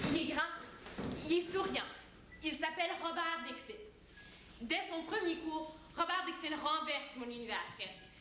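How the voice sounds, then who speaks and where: A woman's raised, projected voice in an Ontario French accent, extremely high in pitch, at a fairly slow pace with long, frequent pauses and audible room echo. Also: ordinary pitch variation. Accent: Franco-Ontarian French. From Ontario, Hanmer. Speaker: student performer. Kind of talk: stage monologue.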